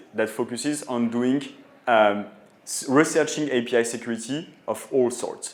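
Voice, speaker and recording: In a French accent, a man speaks at a moderate pace with a medium pitch and fairly even intonation, with audible room echo around him. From France. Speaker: tech company co-founder and CEO. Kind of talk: conference talk. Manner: hesitant, many filler sounds.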